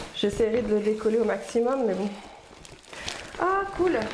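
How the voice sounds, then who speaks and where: There is audible room echo and noticeable background noise around a woman. She speaks at a moderate pace with a fairly high pitch. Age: 30s. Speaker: lifestyle vlogger. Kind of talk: product unboxing review. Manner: casual, hesitant with fillers.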